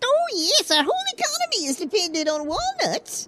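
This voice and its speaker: A woman's put-on character voice, extremely high in pitch, fairly quick, and lively in intonation. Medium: audio drama. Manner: folksy, exclaiming 'oh'.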